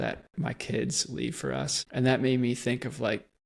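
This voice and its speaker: Speaking at a fairly slow pace, a man talks with an American accent. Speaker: podcast host. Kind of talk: casual interview chat.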